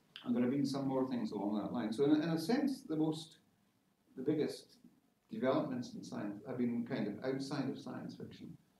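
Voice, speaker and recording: A man with a Scottish accent talks fairly quickly at a medium pitch. There's audible room echo and light background noise. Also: ordinary pitch variation. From Scotland, Isle of Lewis and Greenock; Scotland. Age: 60s. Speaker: science-fiction novelist; guest. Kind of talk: informal talk to an audience. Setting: lecture hall with audience. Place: classroom. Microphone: camera far.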